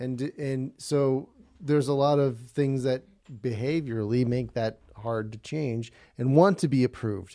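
The voice has a dark, mellow tone, moves at a fairly slow pace and shows ordinary pitch variation. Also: man, medium pitch for a man. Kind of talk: casual chat.

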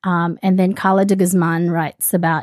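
With an Australian accent, a woman talks at a fairly slow pace in a flat, monotone way, the very clean recording dry and close with no echo over a silent background. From Australia (born in the Philippines). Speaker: podcast host. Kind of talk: casual chat.

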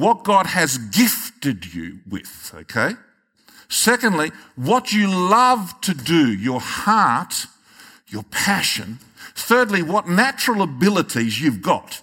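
A man with an Australian accent speaks very slowly at a high pitch. His tone is bright and sharp, with very wide pitch swings. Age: 60s. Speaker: pastor. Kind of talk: sermon.

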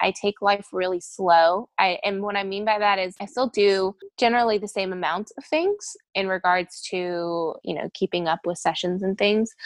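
This is an ordinary speaking voice from a woman at a medium pitch, with ordinary pitch variation. She keeps a moderate pace in a dry, close sound with no echo. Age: 20s. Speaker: intuitive coach and business mentor. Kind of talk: podcast interview.

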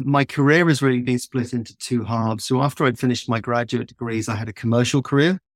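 Talking at a very fast pace with a southern English accent, a man keeps fairly even intonation in a dry, close sound with no echo. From southern England. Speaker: founder of a conservation travel company. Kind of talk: interview conversation. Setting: remote call.

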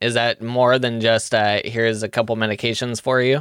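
Here is an unremarkable speaking voice going at a fairly quick pace. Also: man. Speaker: podcast host. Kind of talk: interview.

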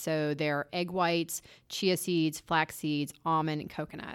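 A woman with an American accent has an ordinary speaking voice, fairly low in pitch with fairly even intonation, on a very clean recording with a silent background. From US, Delaware. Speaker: food entrepreneur. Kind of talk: interview conversation.

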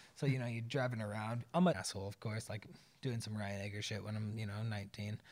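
Speaking very fast with an animated tone, a man talks in an American accent. His pitch is fairly low. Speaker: expat guest, bartender and father. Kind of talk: casual chat.

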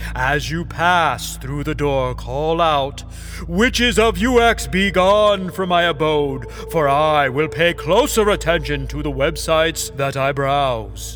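A man performs a put-on character voice, barely pausing at all. Music is clearly audible behind him. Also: fairly slow pace. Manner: calm, reassuring.

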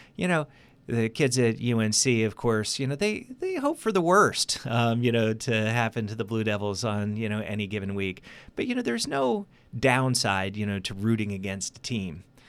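On a very clean recording with a silent background, a man with a plain, everyday voice speaks at a moderate pace in a medium pitch with ordinary pitch variation. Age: 50s. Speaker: political science professor. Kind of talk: radio interview. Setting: studio. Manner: many filler words.

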